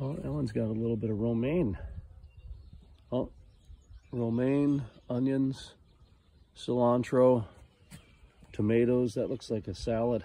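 The man talks at a fairly slow pace, with long, frequent pauses and ordinary pitch variation. The sound is dry, with no echo. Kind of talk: casual tour narration. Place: garden. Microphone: phone near.

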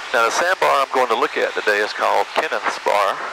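Noticeable background noise surrounds a man whose voice sounds dry, with no echo. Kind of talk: casual vlog commentary. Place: plane. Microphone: headset.

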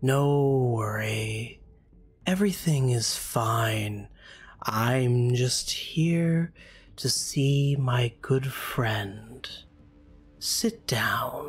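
In a soft-spoken, put-on character voice at a low-to-middle pitch, the speech moves at a very slow pace with long, frequent pauses. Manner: soft, hypnotic, reassuring.

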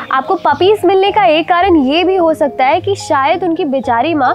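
A woman at a fairly slow pace, dry sound with no echo, clear music in the background. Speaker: presenter. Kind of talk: tutorial. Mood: warm, earnest. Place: garden.

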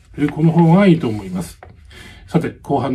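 A man's dark, mellow, somewhat breathy voice with lively intonation over light background noise. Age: 60s. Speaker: YouTuber. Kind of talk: vlog-style talk on real estate advice. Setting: home. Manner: many filler words, hesitant. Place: home room. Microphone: phone near.

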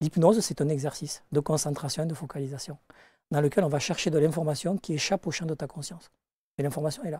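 Against a quiet background and with a dry sound free of echo, a man talks at a very fast pace. His tone is dark and mellow, his pitch fairly high, his intonation fairly even. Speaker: life coach and hypnosis teacher; life coach, hypnosis teacher. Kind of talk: interview. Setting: studio. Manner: direct, outspoken. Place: studio. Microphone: lapel.

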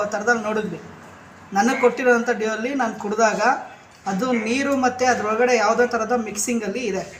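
A man speaks loudly at an extremely high pitch in a monotone, flat intonation. There is audible room echo and noticeable background noise. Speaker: local news reporter. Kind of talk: on-the-spot complaint phone call.

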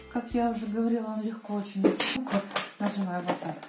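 A woman speaks at a fairly slow pace. Loud background noise fills the recording. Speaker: retired grandmother blogger. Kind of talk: casual product review to camera. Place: kitchen. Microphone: camera far.

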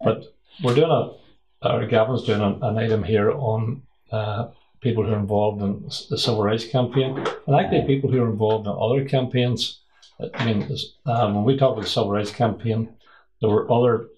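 Under light background noise, a man speaks fairly quickly in a somewhat breathy voice with fairly even intonation. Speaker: interviewer. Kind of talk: interview questions. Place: kitchen.

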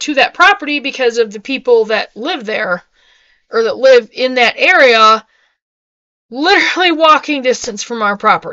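Against a quiet background, a woman projects a raised voice, bright and sharp in tone, at a moderate pace with very wide pitch swings. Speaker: homesteading vlogger. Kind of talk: casual vlog chat. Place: home room. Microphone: webcam.

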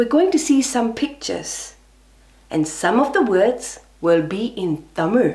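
A woman's fairly high voice with vocal fry and very wide pitch swings, at a fairly slow pace. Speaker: professional storyteller and speech and drama educator. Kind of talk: children's storytelling. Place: home room.

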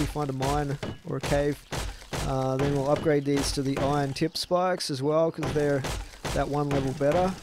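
Dry, echo-free sound of a man talking, with clearly audible background noise. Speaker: gamer streamer. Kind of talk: gameplay commentary. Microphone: headset.

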